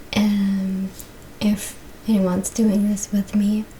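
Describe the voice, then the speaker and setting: The speaker is soft-spoken and goes at a very slow pace. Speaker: yoga and stretching instructor. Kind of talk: exercise instruction to camera.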